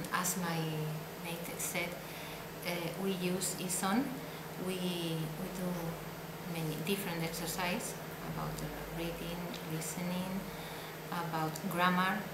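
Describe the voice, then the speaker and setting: A woman speaks with long, frequent pauses. Loud background noise fills the recording. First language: not English. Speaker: adult English language student. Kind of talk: interview testimonial. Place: classroom.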